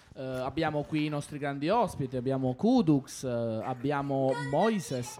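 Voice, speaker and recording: Noticeable background noise sits behind a man with a fairly high voice. He speaks at a fairly slow pace with hardly any pauses. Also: ordinary pitch variation. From Argentina. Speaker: radio host for children's sports show. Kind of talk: casual radio chat with children. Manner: animated.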